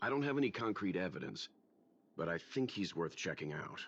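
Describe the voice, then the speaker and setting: Doing a raspy put-on character voice, a man speaks at a fairly quick pace with a very deep, low pitch and very wide pitch swings. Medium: video game. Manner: measured.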